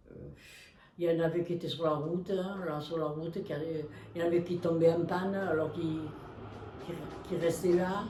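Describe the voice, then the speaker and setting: With audible room echo and noticeable background noise, a fairly low-pitched woman speaks at a moderate pace in a flat monotone, leaving long, frequent pauses. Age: 90s. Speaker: war eyewitness. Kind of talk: family interview testimony. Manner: halting.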